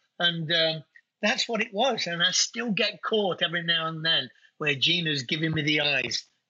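In a British accent, a man talks at a moderate pace with ordinary pitch variation. His pitch is high. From UK. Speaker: winery owner. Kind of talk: casual chat.

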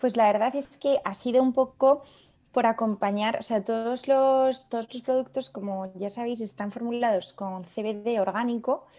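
On a very clean recording with a silent background, a woman speaks fairly slowly at a fairly high pitch with a dark, mellow tone. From Spain, León. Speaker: pharmacist and skincare brand founder. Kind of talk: casual interview.

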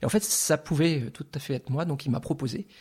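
Fairly quick, somewhat breathy speech from a man. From France, Lorraine. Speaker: artist. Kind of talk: interview. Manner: halting, repeats words.

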